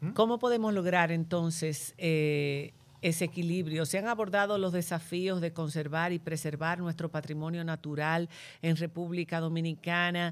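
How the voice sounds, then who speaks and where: A woman with an ordinary speaking voice, fairly low in pitch, at a moderate pace and with fairly even intonation, in a very clean recording with a silent background. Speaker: podcast host. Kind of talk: moderated panel discussion.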